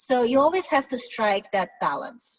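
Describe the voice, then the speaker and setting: A high-pitched woman speaks in a Russian accent at a moderate pace. Her pitch swings very widely. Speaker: product management director. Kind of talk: webinar presentation. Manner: direct.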